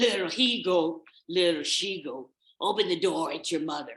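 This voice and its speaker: At a middle pitch and a moderate pace, the speaker uses a put-on character voice. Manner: gruff, deceptively sweet.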